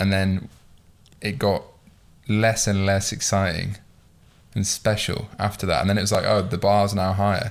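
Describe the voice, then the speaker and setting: Speaking with a British accent at a moderate pace, this voice keeps a monotone, flat intonation broken by long, frequent pauses. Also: man, fairly low pitch for a man. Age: 20s. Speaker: podcast host. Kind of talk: casual chat.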